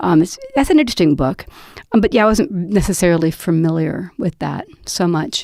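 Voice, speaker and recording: Against noticeable background noise, a woman talks with lively intonation at a fairly low pitch. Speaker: podcast host and poet. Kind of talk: casual panel discussion. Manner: loud, shouty; hesitant, many fillers and restarts.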